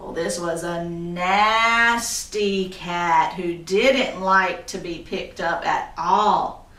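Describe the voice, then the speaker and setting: Over noticeable background noise, a woman talks at a very slow pace with hardly any pauses, fairly even intonation, and big swings in loudness. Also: medium pitch for a woman. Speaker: storyteller, graduate student. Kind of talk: folk tale storytelling with dialogue voices.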